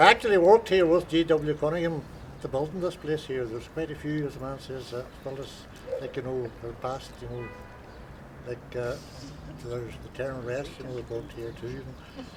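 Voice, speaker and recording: Speaking at a fairly quick pace in a Donegal accent, the voice breaks into long, frequent pauses, swings widely in loudness, and sits over noticeable background noise. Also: man, medium pitch for a man, ordinary pitch variation. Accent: Donegal Irish. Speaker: local resident interviewee. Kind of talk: casual reminiscing chat. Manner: halting, many fillers.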